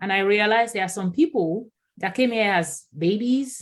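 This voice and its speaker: Recorded very cleanly against a silent background, a woman with a Yoruba accent speaks with ordinary pitch variation. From Nigeria. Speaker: diversity and inclusion consultant. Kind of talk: podcast interview.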